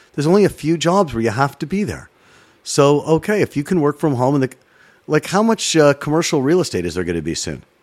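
In a Canadian accent, a man talks at a very fast pace and a fairly high pitch, with very wide pitch swings and a dry, close sound with no echo. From Toronto, Canada. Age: 50s. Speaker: sports broadcaster. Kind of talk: interview chat, storytelling. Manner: animated.

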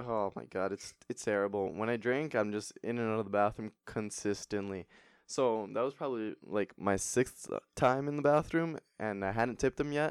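On a very clean recording with a silent background, a man with a plain, everyday voice speaks at medium pitch and a moderate pace. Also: ordinary pitch variation, dry, close sound with no echo. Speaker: podcast host. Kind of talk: casual chat.

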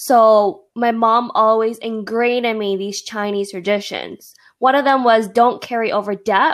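On a very clean recording with a silent background, a woman speaks in an ordinary speaking voice. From Toronto, Canada. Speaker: podcast co-host. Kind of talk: casual chat.

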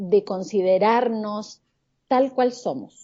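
Lively intonation runs through a woman's fairly high voice. She speaks at a very slow pace. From Argentina. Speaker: life coach and image consultant. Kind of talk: podcast interview.

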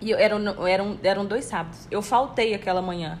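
At a fairly quick pace, a woman speaks at medium pitch in an unremarkable speaking voice. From Brazil. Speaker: podcast co-host, office worker. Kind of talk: casual chat.

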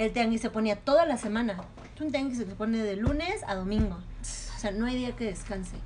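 A woman speaks a little quickly in a plain, everyday voice, her fairly high pitch moving with ordinary variation. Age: 20s. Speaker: chef and restaurant entrepreneur. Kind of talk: casual interview.

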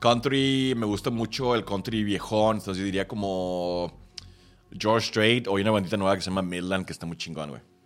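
The pitch rises and falls in a normal manner. Behind the voice, music can be heard. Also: man, fairly low pitch for a man, moderate pace. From Texas. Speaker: podcast guest. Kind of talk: casual chat.

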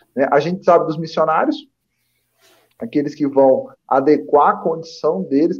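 A man talks at a fairly quick pace. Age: 30s. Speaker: spiritist commentator. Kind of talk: religious study discussion.

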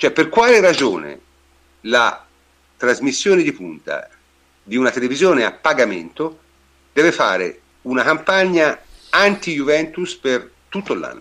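Speaking at a fairly slow pace with long, frequent pauses, a man uses a fairly high voice that swings very widely in pitch and carries vocal fry. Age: 60s. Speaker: podcast host, football fan. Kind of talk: casual chat, football discussion. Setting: online live show.

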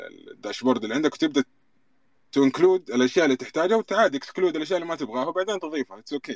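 Lively intonation and big swings in loudness mark this very fast delivery. The sound is dry and close, with no echo. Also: man, fairly high pitch for a man. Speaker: data analyst. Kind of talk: casual panel discussion. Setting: online audio room.

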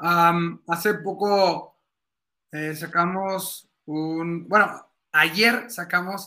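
On a very clean recording with a silent background, a man speaks in a high voice. His tone is bright and sharp, his intonation fairly even. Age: 30s. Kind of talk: casual interview about faith.

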